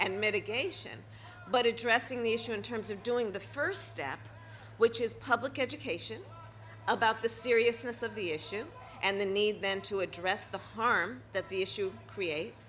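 A woman speaks at a moderate pace. Light background noise runs underneath. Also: ordinary pitch variation. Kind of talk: public speech. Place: street. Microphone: podium.

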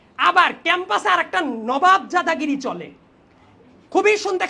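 A man's raised, projected voice, extremely high in pitch, with a bright, sharp tone. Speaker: invited debate speaker. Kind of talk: prepared debate speech.

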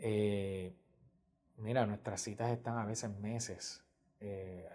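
Very slowly, a man speaks in a fairly low, dark, mellow voice that is somewhat breathy, keeping his intonation fairly even. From Puerto Rico, San Germán; Puerto Rico. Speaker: pediatric cardiologist. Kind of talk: interview testimony. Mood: calm, warm, explanatory. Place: office. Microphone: lapel.

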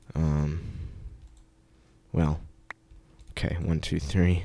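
A quiet man with a very deep, low pitch at a very slow pace, on a very clean recording with a silent background. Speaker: gaming video creator. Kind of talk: casual gameplay commentary. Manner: quiet, kept low; hesitant, many fillers.

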